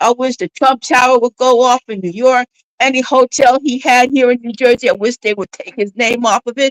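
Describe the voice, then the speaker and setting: Talking at a fairly quick pace, a woman uses a high pitch in a dry, close sound with no echo. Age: 60s. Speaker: caller on a live stream. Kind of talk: casual chat. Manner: animated.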